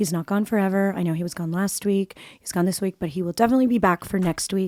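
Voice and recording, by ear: Raspy and fast, the voice has a dark, mellow tone. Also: woman.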